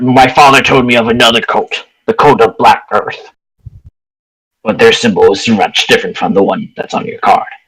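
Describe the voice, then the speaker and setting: At a moderate pace, a man speaks in a put-on character voice. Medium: actual play. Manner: earnest, matter-of-fact.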